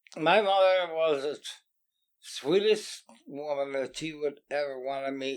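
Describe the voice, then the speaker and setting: This man talks at a very slow pace with an American accent. His pitch sits fairly high. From Bel Air area, US. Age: 70s. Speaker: interviewee sharing life story. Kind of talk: oral history interview. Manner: halting with repetitions.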